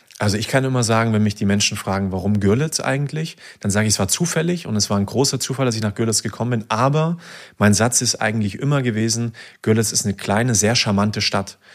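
A man speaks at a very fast pace in a medium pitch with ordinary pitch variation, recorded very cleanly against a silent background. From Saxony, Germany (near Dresden). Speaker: university student. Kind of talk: casual interview.

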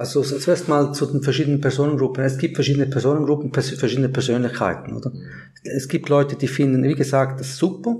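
This man talks at a very fast pace with fairly even intonation and a somewhat breathy voice. His pitch is fairly high, and his tone is dark and mellow. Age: 50s. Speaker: work psychologist. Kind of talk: podcast interview.

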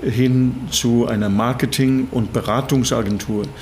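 A man speaks at a very slow pace and medium pitch, with ordinary pitch variation. Audible room echo and noticeable background noise are present. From Norway, Bergen. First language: Norwegian (speaking German). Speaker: management consultant. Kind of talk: interview.

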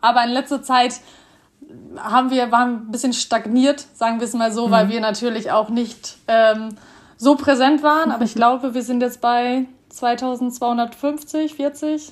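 Her high-pitched voice moves at a fairly slow pace, and this woman keeps her intonation fairly even. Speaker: student, social media creator. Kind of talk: casual interview. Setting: video call.

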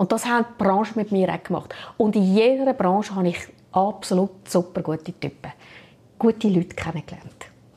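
A woman speaks in a plain, everyday voice at a moderate pace, her pitch medium. Her pitch variation is ordinary. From Switzerland. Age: 50s. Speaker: HR director. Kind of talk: interview.

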